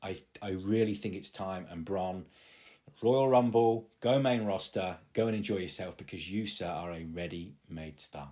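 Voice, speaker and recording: With an East Midlands accent, a man speaks at a moderate pace in a very deep, low pitch, his tone dark and mellow with ordinary pitch variation, on a very clean recording with a silent background. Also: big swings in loudness. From England, East Midlands (Leicester). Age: 30s. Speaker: podcast host. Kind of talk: solo podcast monologue. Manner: animated.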